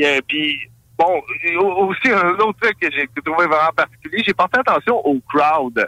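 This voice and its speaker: In a Quebec accent, a man speaks fairly slowly at a high pitch with a bright, sharp tone. His loudness stays very even, his pitch variation is ordinary, and the sound is dry and close with no echo. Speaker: radio columnist. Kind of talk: casual radio discussion.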